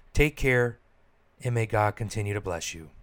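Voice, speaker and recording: In a very clean recording against a silent background, a man talks at a moderate pace in a plain, everyday voice of medium pitch. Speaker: podcast host, priest. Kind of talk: podcast intro and outro.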